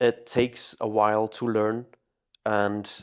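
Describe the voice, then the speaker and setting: On a very clean recording with a silent background, a man with a non-native accent speaks at a fairly low pitch in a monotone, flat intonation. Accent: non-native pronunciation. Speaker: fitness coach. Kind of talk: tutorial. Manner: hesitant, many fillers.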